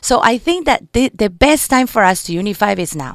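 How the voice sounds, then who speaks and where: A woman with a Colombian accent speaks at medium pitch and a moderate pace, her pitch swinging very widely. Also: very clean recording, silent background. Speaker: political candidate and community organizer. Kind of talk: radio interview. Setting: radio studio.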